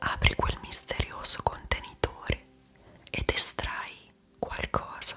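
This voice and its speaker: A woman whispering at a very slow pace, soothing in tone, with music in the background. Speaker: ASMR creator, guided meditation guide. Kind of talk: guided meditation / sleep visualization. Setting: studio, close-mic with calm background melody. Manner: whispered, slow, soothing.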